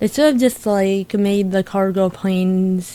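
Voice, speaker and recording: Here is a woman with a normal speaking voice. She speaks at a fairly slow pace. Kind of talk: casual gameplay commentary.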